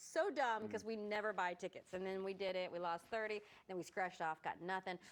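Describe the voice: A woman talks at a fairly quick pace with a medium pitch. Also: ordinary pitch variation.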